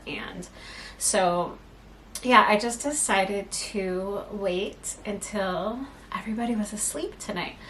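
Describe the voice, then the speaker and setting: A soft-spoken woman talks at a medium pitch with fairly even intonation, and the room echo is audible. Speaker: knitting podcaster. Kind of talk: casual chat. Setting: home at night.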